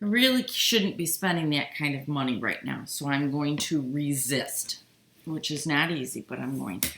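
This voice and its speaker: Intonation is lively, with an American accent. Speech moves at a moderate pace. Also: woman, very deep, low pitch for a woman. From upstate New York, US. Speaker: quilting channel host. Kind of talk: live stream chat while sewing. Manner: casual, halting.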